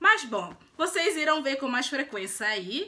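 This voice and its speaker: A woman with a Brazilian accent speaks in a raised, projected voice. Her pitch is high and her pace fairly slow. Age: 20s. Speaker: lifestyle and beauty vlogger; beauty vlogger. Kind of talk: casual vlog introduction. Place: home room. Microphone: phone near.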